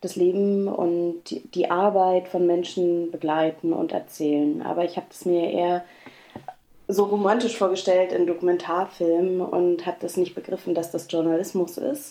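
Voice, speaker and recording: A woman with a plain, everyday voice talks in a fairly low pitch with fairly even intonation. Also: moderate pace. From East Berlin. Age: 30s. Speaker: regional TV journalist. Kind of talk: interview. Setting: remote call.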